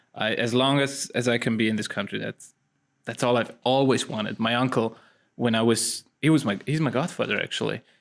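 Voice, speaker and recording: A man with a Swiss-Italian accent talks at a fairly quick pace in a medium pitch, on a very clean recording with a silent background. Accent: foreign accent, Swiss-Italian. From Switzerland, Italian parents. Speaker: actor. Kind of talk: casual interview chat. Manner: animated, with frequent repetitions.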